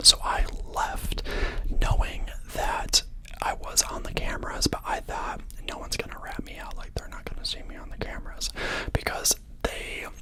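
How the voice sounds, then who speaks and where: The speaker is whispering. There are long, frequent pauses. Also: moderate pace. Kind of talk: ASMR storytime, casual personal story. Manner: soft-spoken; chatty, rambling.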